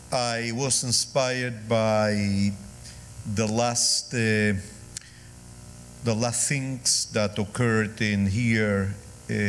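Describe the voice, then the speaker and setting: With a non-native accent, a man speaks in a monotone at a medium pitch and a very slow pace, with long, frequent pauses, very even loudness and audible room echo. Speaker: rabbi and guest lecturer. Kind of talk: lecture. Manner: halting.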